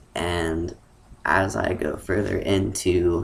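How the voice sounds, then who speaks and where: A man is speaking. His voice has vocal fry. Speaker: transgender vlogger. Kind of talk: casual vlog monologue. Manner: hesitant, many fillers.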